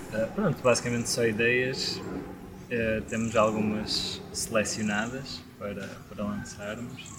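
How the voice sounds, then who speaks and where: At a very slow pace yet with hardly any pauses, a man talks in a medium pitch with monotone, flat intonation over noticeable background noise. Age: 20s. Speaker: band vocalist and guitarist. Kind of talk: casual chat. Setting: outdoors in a garden.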